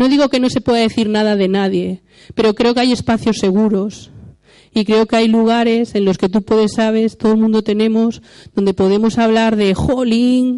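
At a moderate pace, a woman with a dark, mellow tone and fairly high pitch speaks in a monotone, flat intonation at very even loudness. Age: 40s. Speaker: church speaker. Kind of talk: sermon. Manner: halting.

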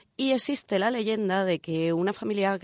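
A woman's lively, up-and-down delivery, dry and close with no echo, over a quiet background. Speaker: radio co-host, engineer. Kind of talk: casual chat. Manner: put-on sultry voice in intro.

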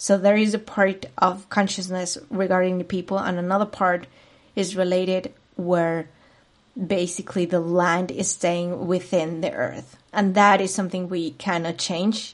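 In a Spanish accent, a woman with a medium-pitched voice talks at a fairly slow pace with monotone, flat intonation. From Spain, Madrid. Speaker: podcast host, spiritual coach. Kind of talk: solo monologue podcast.

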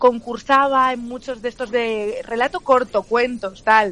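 A woman's high-pitched voice at a very slow pace. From León, Spain. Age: 20s. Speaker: journalist and comedian. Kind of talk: casual chat.

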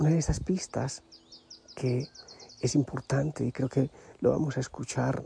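Speaking at a very slow pace, a man uses a medium pitch, a calm, gentle tone and fairly even intonation. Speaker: religious preacher, spiritual leader. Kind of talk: devotional reflection. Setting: outdoors in the mountains.

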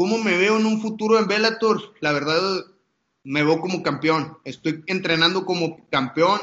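This man's voice sits high in pitch, with ordinary pitch variation and a fairly slow pace. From Mexico, Monterrey. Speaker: professional MMA fighter. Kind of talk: interview.

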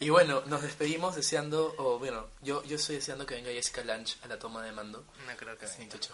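Talking at a very fast pace with hardly any pauses, a man with a fairly high pitch and ordinary pitch variation swings widely in loudness over noticeable background noise. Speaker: podcast co-host. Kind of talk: casual chat.

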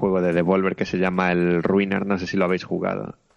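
In a northern Spanish accent, a man speaks at a very deep, low pitch with monotone, flat intonation. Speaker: video game podcast co-host. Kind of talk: casual chat.

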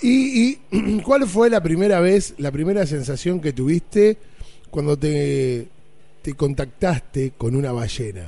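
Speaking at a very slow pace, a man with an Argentine accent lets his pitch swing very widely. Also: fairly high pitch for a man. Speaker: radio host. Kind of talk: radio show.

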